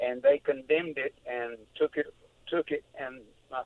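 A man speaks at a moderate pace with a Southern US accent. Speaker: caller. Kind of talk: phone-in conversation. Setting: phone call.

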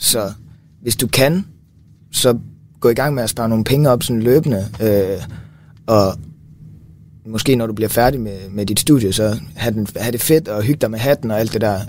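Pausing long and often, a man talks at medium pitch and a moderate pace, with ordinary pitch variation. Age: 20s. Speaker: physiotherapy student. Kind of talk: casual chat. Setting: studio.

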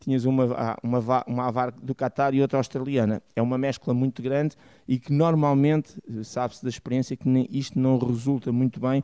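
A man speaks at a fairly quick pace with a dark, mellow tone. His intonation stays fairly even. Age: 50s. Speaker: refereeing analyst. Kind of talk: radio panel discussion.

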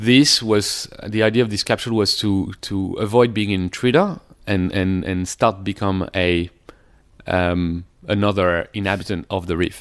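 On a very clean recording with a silent background, a man with a French accent talks at a moderate pace, his pitch fairly low and his intonation fairly even. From Paris suburbs, France. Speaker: underwater photographer. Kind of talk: interview conversation. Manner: halting, hesitant.

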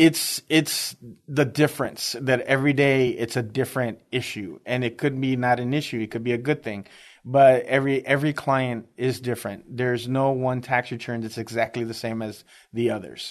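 Against a quiet background, the speaker talks at a moderate pace with an American accent and fairly even intonation. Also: man, medium pitch for a man. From US Midwest, inner-city Chicago. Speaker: tax preparer. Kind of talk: radio interview. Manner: halting, many fillers.

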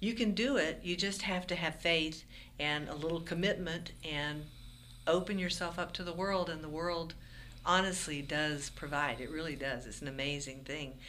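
Bright and sharp in tone, a woman speaks at a moderate pace with ordinary pitch variation, with audible room echo. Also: fairly low pitch for a woman. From Florida Panhandle. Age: 60s. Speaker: folk musician. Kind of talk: interview.

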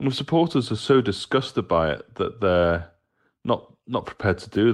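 A man with lively intonation at a fairly slow pace, on a very clean recording with a silent background. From Britain. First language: English (speaking Danish). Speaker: football journalist. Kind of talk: interview.

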